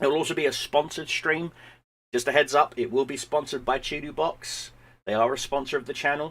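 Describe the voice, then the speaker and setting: The speech comes at a very fast pace. Its intonation is fairly even. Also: man, fairly high pitch for a man. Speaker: gaming streamer. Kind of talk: live stream chat. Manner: halting with repetitions.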